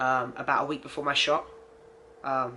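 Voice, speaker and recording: A man with an English accent speaks at a moderate pace in a bright, sharp tone with monotone, flat intonation. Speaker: transgender vlogger. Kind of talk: personal video diary. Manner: casual, many fillers.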